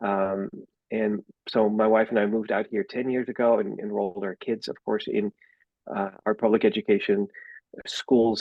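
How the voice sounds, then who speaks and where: A man speaks with a Dutch accent and a fairly low voice. His intonation is monotone and flat. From Netherlands. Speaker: school board candidate. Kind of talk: campaign introduction. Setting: video call. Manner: hesitant.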